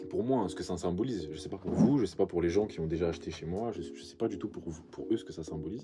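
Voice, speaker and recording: With music in the background and audible room echo, a man with a very deep, low pitch talks at a very fast pace with lively intonation and hardly any pauses. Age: 20s. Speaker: vintage clothing shop owner. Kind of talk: vlog monologue to camera. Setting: backstage after a pop-up event. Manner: casual, halting with repetitions.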